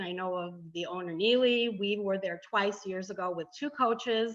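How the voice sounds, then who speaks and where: In a Chicago accent, a woman speaks at a medium pitch and a moderate pace. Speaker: travel tour presenter.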